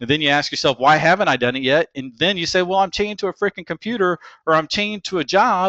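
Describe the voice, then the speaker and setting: Pitch varies in an ordinary way. The voice carries a slight Texas accent. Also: man, high pitch for a man. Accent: slight Texas drawl. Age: 40s. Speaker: internet marketer. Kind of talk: webinar presentation. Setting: webinar. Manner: casual, many filler words.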